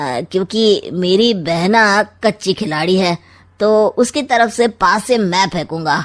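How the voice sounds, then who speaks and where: Using a cartoonish character voice at medium pitch, a woman talks at a very slow pace with lively intonation. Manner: sly, sarcastic.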